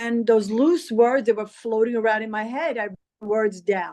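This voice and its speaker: Music plays in the background as a woman speaks. Her voice is fairly high and her pace moderate. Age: 70s. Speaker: poet and author. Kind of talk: interview. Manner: halting.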